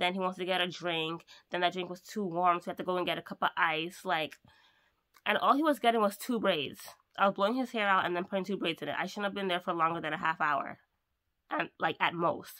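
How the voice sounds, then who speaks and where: Very fast and bright, a woman's sharp voice moves with ordinary pitch variation. The background is quiet. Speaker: mobile hairdresser vlogger. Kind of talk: casual vlog chat. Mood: annoyed ranting. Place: home room. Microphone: phone near.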